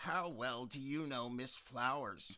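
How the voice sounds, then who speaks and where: A man's put-on character voice, medium in pitch, with ordinary pitch variation and a fairly slow pace. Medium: read story. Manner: interrogating, officious.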